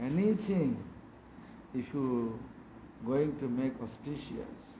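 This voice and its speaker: Amid audible room echo and noticeable background noise, a man speaks very slowly at a medium pitch with ordinary pitch variation. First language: not English. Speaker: monk and spiritual teacher. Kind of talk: religious discourse. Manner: halting.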